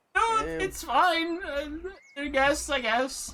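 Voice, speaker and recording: This is a put-on character voice that sounds female. Its pitch sits high for a woman. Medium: actual play. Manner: evasive, mild.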